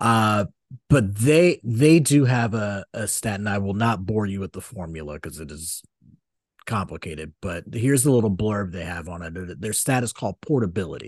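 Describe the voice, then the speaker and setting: Against a quiet background, a man with an unremarkable speaking voice and fairly low pitch talks at a moderate pace with lively intonation and big swings in loudness, the sound dry and close with no echo. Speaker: podcast co-host. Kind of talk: casual banter about sports and culture.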